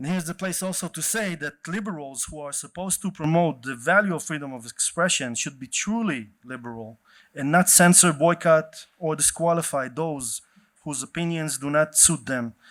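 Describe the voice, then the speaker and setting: A man with an Israeli accent and ordinary pitch variation, on a very clean recording with a silent background. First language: Hebrew. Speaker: event organizer and activist. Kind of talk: opening speech at a panel event. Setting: stage with audience.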